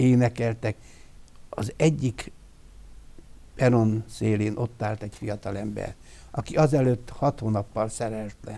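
At a very slow pace, a man speaks in a dark, mellow tone with ordinary pitch variation. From Transylvania, Romania (Târgu Mureș, Hungarian-speaking); Transylvania, Romania. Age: 70s. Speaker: church elder; interview guest. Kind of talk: testimony. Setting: studio. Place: studio. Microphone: lapel.

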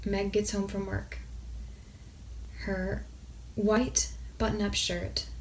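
There is light background noise as a woman talks. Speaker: indie author. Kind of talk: improvised short story reading. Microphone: phone near.

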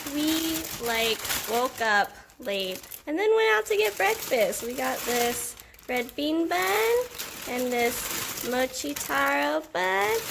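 Through noticeable background noise, a woman with a high pitch speaks at a very slow pace with long, frequent pauses. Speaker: vlogger. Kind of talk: casual vlog chat. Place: kitchen. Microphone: phone near.

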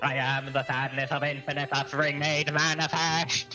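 Over clear music in the background, a man does a put-on character voice at a fairly high pitch, monotone and flat, at a moderate pace. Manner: menacing, terrifying.

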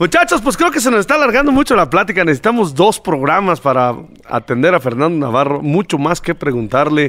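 At a fairly quick pace, a man talks with very wide pitch swings. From rural central Mexico. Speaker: podcast host. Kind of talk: casual interview. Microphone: studio mic.

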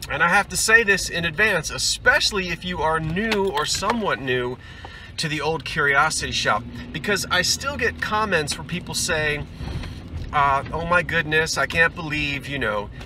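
A man at a moderate pace with lively intonation, dry sound with no echo and noticeable background noise. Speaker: antiques reseller vlogger. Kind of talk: casual vlog chat. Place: car. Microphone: phone near.

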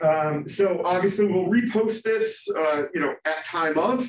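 A man speaks loudly in a high voice. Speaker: university lecturer. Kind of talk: lecture.

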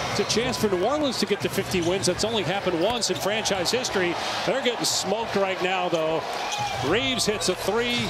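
The speech comes at a fairly quick pace over loud background noise, with a dry sound and no echo. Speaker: play-by-play announcer. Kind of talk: live sports play-by-play commentary. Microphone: headset.

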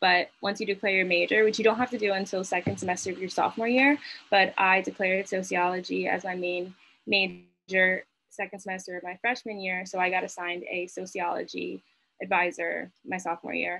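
A woman with an American accent and a plain, everyday voice, medium pitch, fairly even intonation and a fairly quick pace, with light background noise. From New Jersey, Berkeley Heights; New Jersey. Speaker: college student. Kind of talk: panel discussion. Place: home room. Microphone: video call.

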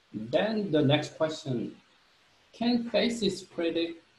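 A man's very slow speech with lively intonation and audible room echo. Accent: Korean. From South Korea. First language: Korean. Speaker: marketing professor. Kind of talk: lecture. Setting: video call. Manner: halting, many fillers. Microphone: webcam.

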